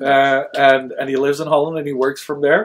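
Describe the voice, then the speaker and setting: Here a man talks at a moderate pace. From France and Sweden. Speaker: history show host. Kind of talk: live stream chat. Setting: studio.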